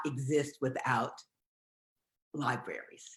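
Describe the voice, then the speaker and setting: Her bright, sharp tone carries vocal fry as this woman speaks. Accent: American. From US Midwest, Detroit. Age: 60s. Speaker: novelist. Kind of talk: live video conversation.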